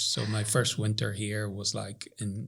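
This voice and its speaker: A man with a Northern Irish accent talks in a fairly low pitch. His voice is somewhat breathy. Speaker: professor. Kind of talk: casual chat.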